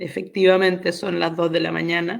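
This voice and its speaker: The speaker is a woman. Her pitch is fairly low. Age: 60s. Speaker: astrologer and tarot reader. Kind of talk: interview, personal story. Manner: hesitant, many fillers.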